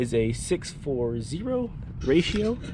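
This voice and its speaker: Over noticeable background noise and audible room echo, a speaker with an American accent talks very slowly with very wide pitch swings. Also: man. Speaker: lawn care youtuber. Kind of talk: casual lawn care vlog. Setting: outdoors.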